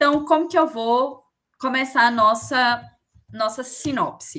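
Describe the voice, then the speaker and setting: A woman speaks at a fairly slow pace in a raised, projected voice, her high pitch carrying a bright, sharp tone with ordinary pitch variation. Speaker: teacher. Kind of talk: online lecture.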